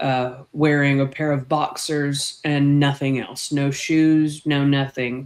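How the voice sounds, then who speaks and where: The intonation stays monotone and flat. Delivery comes at a very slow pace. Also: woman. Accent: Texan. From Texas, small town near Fort Worth. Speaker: snake keeper. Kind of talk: casual chat.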